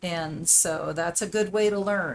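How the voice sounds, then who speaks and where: A normal speaking voice, rather slow in tempo, its pitch varying normally. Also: woman. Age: 60s. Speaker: art tutor on live stream. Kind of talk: casual chat during paint-along tutorial. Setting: live stream. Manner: conversational, with many fillers.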